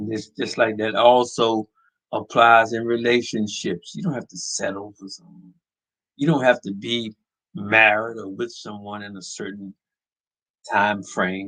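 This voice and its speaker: In an American accent, a man talks at a fairly slow pace with a bright, sharp and animated tone. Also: medium pitch for a man, big swings in loudness. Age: 70s. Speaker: podcast host. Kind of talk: opinion monologue. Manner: halting.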